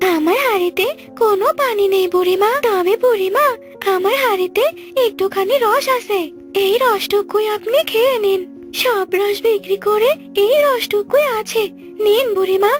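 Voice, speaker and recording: With clear music playing behind her, a woman puts on a cartoonish character voice at an extremely high pitch. She talks at a fairly slow pace, and her loudness stays very even. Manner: shrill, scolding.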